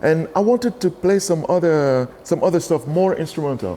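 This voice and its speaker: With a Cameroonian accent, a man talks in a dark, mellow tone with ordinary pitch variation. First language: Douala. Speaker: bass player. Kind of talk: interview. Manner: animated; halting.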